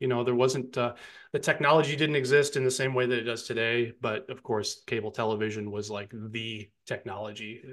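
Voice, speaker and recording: Over a quiet background, a man with an American accent and an unremarkable speaking voice talks at medium pitch with fairly even intonation. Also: fairly quick pace. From upstate New York. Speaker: music podcaster. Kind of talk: casual chat.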